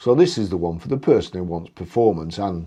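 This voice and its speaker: This man speaks with a British accent in a very deep, low pitch. His intonation is lively, and the background is quiet. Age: 60s. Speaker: YouTuber. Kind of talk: casual video review. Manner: animated.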